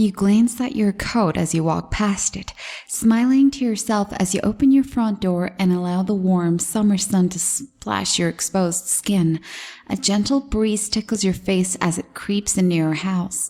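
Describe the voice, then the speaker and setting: Her voice has a dark, mellow tone and is somewhat breathy. This woman speaks at a medium pitch with ordinary pitch variation. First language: not English. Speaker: horror story narrator. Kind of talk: horror story reading.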